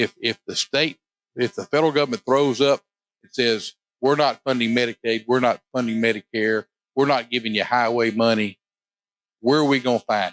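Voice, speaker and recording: A man with an Arkansas accent speaks at a medium pitch and moderate pace with fairly even intonation and big swings in loudness, in a dry, close sound with no echo. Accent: Southern US (Arkansas). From US South, southern Arkansas. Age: 60s. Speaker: state legislator. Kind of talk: interview. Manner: halting, repeats words.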